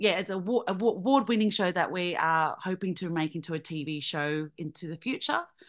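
A woman speaks at a moderate pace with an Australian accent, her pitch medium. Her pitch varies in an ordinary way over a quiet background. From Australia, Vietnamese family. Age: 30s. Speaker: comedian. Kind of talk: interview.

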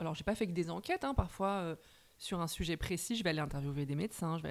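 A woman's fairly low voice at a fairly quick pace with ordinary pitch variation, in a very clean recording with a silent background. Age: 30s. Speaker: journalist and novelist. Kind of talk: casual interview chat.

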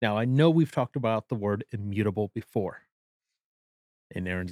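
Here is a man with an unremarkable speaking voice, fairly low in pitch. He talks at a moderate pace with ordinary pitch variation. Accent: American. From US Midwest, southeastern Wisconsin. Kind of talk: casual book discussion; reading aloud from notes.

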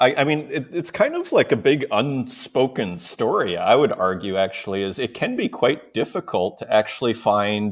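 A man with an ordinary speaking voice and a Canadian accent, medium pitch, lively intonation, a moderate pace, and hardly any pauses. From Saskatoon, Canada. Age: 40s. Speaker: digital artist and show host. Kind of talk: casual interview chat.

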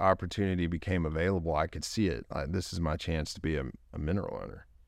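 With a Texan accent, a man talks with ordinary pitch variation against a quiet background. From East Texas, Longview. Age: 30s. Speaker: oil and gas entrepreneur. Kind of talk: interview.

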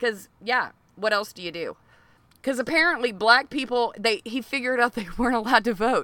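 Talking at a fairly quick pace, a woman with an American accent has a high pitch, a bright, sharp tone and big swings in loudness. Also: ordinary pitch variation. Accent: can switch into a strong Southern US. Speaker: comedy podcast co-host. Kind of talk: casual comedic banter. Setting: outdoors on a porch. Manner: profane.

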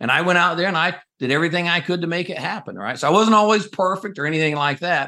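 A high-pitched man with an American accent, bright and sharp in tone, at a very fast pace with ordinary pitch variation. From US South, North Carolina. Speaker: company CEO, Navy veteran. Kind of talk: interview.

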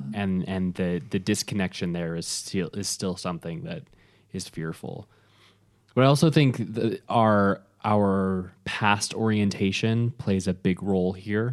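A man with a plain, everyday voice talks at a fairly slow pace with fairly low pitch and ordinary pitch variation. The recording is very clean, with a silent background. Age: 30s. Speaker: podcast co-host, businessman. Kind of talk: casual chat.

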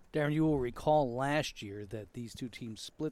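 A man with an American accent at medium pitch, fairly slow, with ordinary pitch variation and a normal speaking voice. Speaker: broadcast producer and color commentator. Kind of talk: scripted broadcast intro and sponsor reads. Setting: press booth at outdoor ballfield. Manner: joking, wry.

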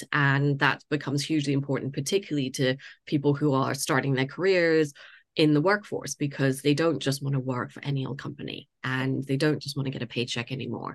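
Over a quiet background, a woman with a very deep, low pitch talks at a fairly quick pace with fairly even intonation. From Canada, Toronto. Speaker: head of marketing. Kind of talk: interview conversation.

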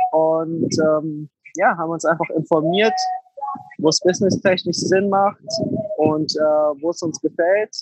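Recorded with a dry, close sound and no echo, a man talks at a fairly slow pace in a fairly high pitch with ordinary pitch variation. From Germany, Frankfurt. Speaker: Airbnb entrepreneur. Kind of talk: interview. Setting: online call.

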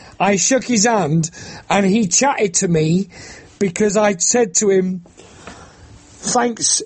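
Over noticeable background noise, a man with a high pitch speaks at a very slow pace with ordinary pitch variation. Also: very even loudness. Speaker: campaigner against bill payment. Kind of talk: interview.

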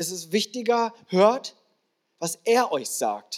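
A man speaks at a very slow pace. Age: 40s. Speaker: guest pastor. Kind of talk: sermon. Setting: church stage with audience.

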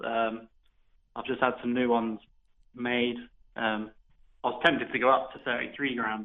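A man speaks in a West Country accent at a fairly slow pace. His intonation is monotone and flat, with long, frequent pauses. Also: medium pitch for a man. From Devon, southwest England. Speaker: professional darts player. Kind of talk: interview.

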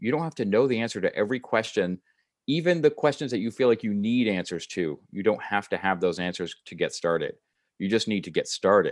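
Over a quiet background, a man with an ordinary speaking voice talks at a medium pitch and fairly quick pace, his intonation lively. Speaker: weight-loss coach and podcaster. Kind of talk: casual interview chat.

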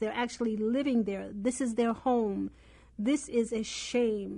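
A woman speaks with a dark, mellow tone at a fairly high pitch and a fairly slow pace. Her intonation stays fairly even over a quiet background. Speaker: radio host and magazine editor. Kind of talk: talk radio. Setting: radio studio.

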